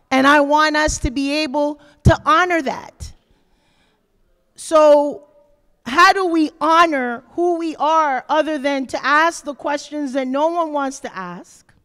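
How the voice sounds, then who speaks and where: A woman speaks at a very slow pace. Her voice is high-pitched, with a bright, sharp tone. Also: ordinary pitch variation. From Panama. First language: Spanish. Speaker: author and activist speaking to students. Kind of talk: talk to high school students.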